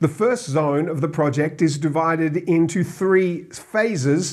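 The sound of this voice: A man talks at a slow pace. His pitch is fairly high. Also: ordinary pitch variation.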